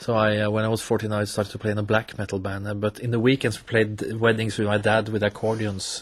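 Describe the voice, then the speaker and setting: Noticeable background noise around a man with a Norwegian accent, fairly low pitch, monotone and flat, very fast with hardly any pauses. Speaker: accordionist, musician. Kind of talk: radio interview. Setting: radio studio.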